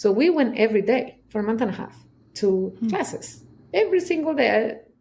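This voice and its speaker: A woman speaks in a Chilean accent with lively intonation. Her pace is fairly quick. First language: Spanish. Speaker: somatic trauma specialist. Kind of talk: interview answer. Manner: candid.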